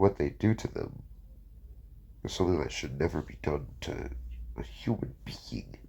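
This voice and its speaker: A man with a very deep, low pitch and vocal fry speaks at a moderate pace, showing very wide pitch swings and big swings in loudness. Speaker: fan fiction narrator. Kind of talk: casual talk to camera.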